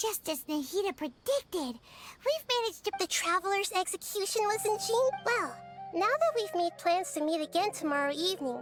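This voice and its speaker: An extremely high-pitched, put-on character voice talks at a moderate pace. Clear music plays in the background. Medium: video game. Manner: fast, excitable.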